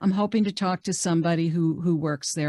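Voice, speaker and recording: A woman with an American accent speaks at a moderate pace. The sound is dry and close, with no echo. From New York metro area. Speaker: career coach. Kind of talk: webinar presentation. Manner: conversational, many fillers.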